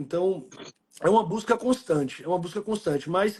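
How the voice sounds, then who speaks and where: A dark, mellow tone marks this voice. The speaker is a man. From Salvador, Bahia, Brazil. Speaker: businessman and athlete. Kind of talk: live stream conversation. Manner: halting.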